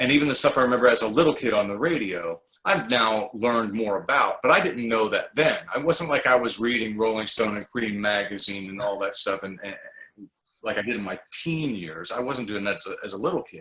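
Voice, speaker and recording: An unremarkable speaking voice from a man, medium in pitch, at a fairly quick pace, with lively intonation and big swings in loudness. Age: 60s. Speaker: writer and former radio host. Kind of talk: casual interview. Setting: video call.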